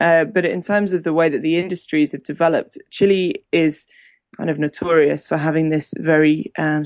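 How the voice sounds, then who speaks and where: In a southern English accent, a woman with a very deep, low voice speaks at a moderate pace in a monotone, flat intonation, with a dry, close sound, no echo, and a quiet background. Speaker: wine journalist. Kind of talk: casual interview. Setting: Skype call.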